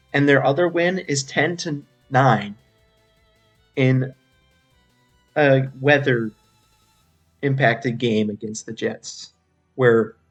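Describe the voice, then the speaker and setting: Over background music, a man speaks very slowly at a medium pitch with ordinary pitch variation. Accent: American. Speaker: sports podcast host. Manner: casual, conversational.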